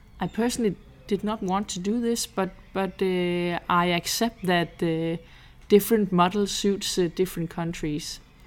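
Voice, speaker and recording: This woman speaks with a Danish accent at a fairly slow pace. Her pitch is medium and her intonation fairly even. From Denmark, Jutland. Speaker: GP trainee. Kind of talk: interview.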